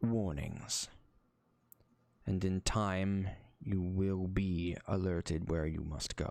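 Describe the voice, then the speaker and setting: Using a put-on character voice, a man speaks very slowly at a very deep, low pitch, with long, frequent pauses. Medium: actual play. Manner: grave, formal.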